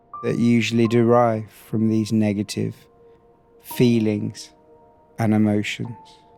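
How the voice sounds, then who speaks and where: Against music in the background, a man speaks at a fairly slow pace and fairly low pitch, monotone and flat, with long, frequent pauses. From Britain. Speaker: hypnotherapist. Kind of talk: sleep hypnosis. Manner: slow, soft-spoken.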